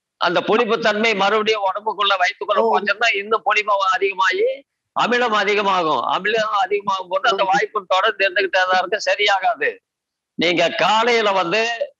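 With a raised, projected voice, a man speaks at a high pitch, keeping his loudness very even and his intonation fairly even, in a dry, close sound with no echo. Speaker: naturopathy adviser and yoga teacher. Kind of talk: Q&A advice session.

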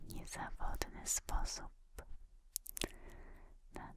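A woman whispers in a breathy voice. There is light background noise. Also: dry sound with no echo. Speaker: relaxation video creator. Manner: slow breathy Polish whisper.

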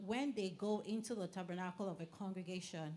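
Here a woman talks at a moderate pace in a medium pitch. Hers is an unremarkable speaking voice. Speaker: scripture reader. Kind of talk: reading aloud from scripture.

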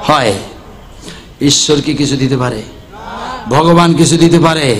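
An energetic tone comes from a man. Light background noise is present. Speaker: Islamic preacher giving a waz sermon. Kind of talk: religious sermon (waz) delivered to a crowd. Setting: live public gathering, PA system. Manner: energetic, rhetorical, addressing audience with questions. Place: tent. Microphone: podium.

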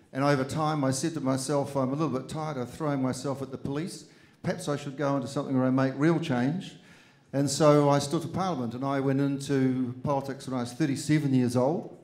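Flat and monotone, a man talks with a New Zealand accent. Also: fairly high pitch for a man, fairly quick pace. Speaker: politician. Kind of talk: speech to students. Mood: encouraging, earnest. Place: hall. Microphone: handheld.

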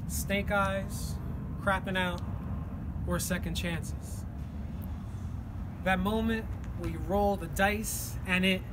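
A man speaks at a very slow pace over noticeable background noise. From New Jersey. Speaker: poet. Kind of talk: spoken word poetry performance. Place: street. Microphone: phone near.

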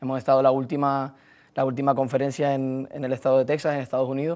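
Very fast pace from a male speaker. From Canary Islands, Tenerife; Canary Islands. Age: 20s. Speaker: football coach; football coach guest. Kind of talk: sports talk show. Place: studio. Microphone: lapel.

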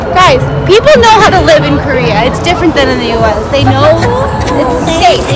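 The speech moves at a fairly quick pace over clear background music, and the sound is dry with no echo. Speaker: travel vlogger. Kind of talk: casual vlog chat. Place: market. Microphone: phone near.

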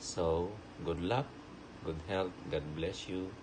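Fairly slow delivery against noticeable background noise. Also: man. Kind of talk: personal video message. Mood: warm, affectionate. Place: home room. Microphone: phone near.

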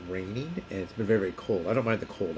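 There is noticeable background noise as a man talks at a very fast pace. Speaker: vlogger. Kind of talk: casual vlog chat. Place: home room. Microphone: phone near.

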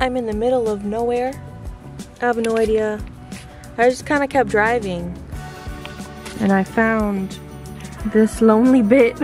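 Over clear background music, a woman with a fairly high pitch speaks at a fairly slow pace with fairly even intonation and long, frequent pauses, the sound dry with no echo. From Chile. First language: Spanish. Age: 20s. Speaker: model and content creator. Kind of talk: casual vlog talk to camera. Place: car. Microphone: phone near.

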